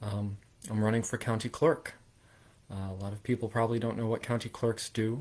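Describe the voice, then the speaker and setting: The recording is very clean, with a silent background. A man with a medium pitch speaks in a flat monotone with a New Jersey accent. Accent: New Jersey American. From southern New Jersey, US. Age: 20s. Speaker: political candidate. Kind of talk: campaign livestream talk. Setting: livestream. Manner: halting, many fillers.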